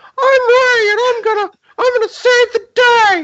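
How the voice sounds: A squeaky, put-on character voice speaks at a very slow pace. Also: female-sounding voice, extremely high pitch for a woman.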